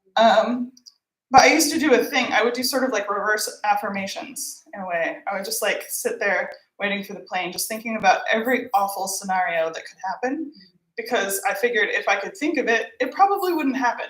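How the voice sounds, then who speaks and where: A woman with an American accent talks at a fairly quick pace and a fairly high pitch. Her voice has very wide pitch swings and big swings in loudness. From United States. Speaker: comedian. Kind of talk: stand-up. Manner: halting, many fillers.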